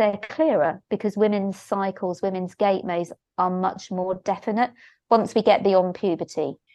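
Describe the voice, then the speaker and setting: A woman with a medium pitch speaks in a normal speaking voice. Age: 60s. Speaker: shiatsu therapist and teacher. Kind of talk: interview conversation.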